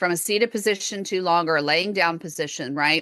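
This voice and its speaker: Against a quiet background, a woman speaks in a Texan accent with a bright, sharp tone. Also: dry, close sound with no echo. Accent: Texan US Southern. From Texas. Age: 40s. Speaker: podcast host and chronic illness patient. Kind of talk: interview conversation.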